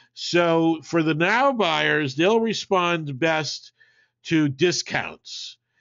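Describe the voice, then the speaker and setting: A man is speaking. He talks with an East Coast US accent. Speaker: marketing webinar presenter. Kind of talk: webinar presentation with Q&A. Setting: online webinar. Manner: casual, halting with many fillers.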